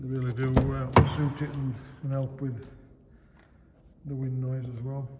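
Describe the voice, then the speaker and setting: There is loud background noise. Through it, a man speaks at a moderate pace. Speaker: car salesperson. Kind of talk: sales walkaround commentary. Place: garage. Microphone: phone near.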